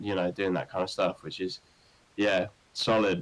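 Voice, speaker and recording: Fairly even in intonation and fairly low in pitch, a man speaks at a moderate pace. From English Midlands, Northampton. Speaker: rock band singer. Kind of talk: podcast interview. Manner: casual, many fillers.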